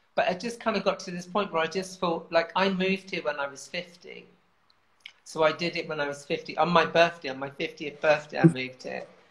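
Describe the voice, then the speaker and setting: A woman at a fairly quick pace, ordinary pitch variation and big swings in loudness. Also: fairly low pitch for a woman. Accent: London. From southern England. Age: 50s. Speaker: writer and campaigner. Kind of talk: casual chat. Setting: video call.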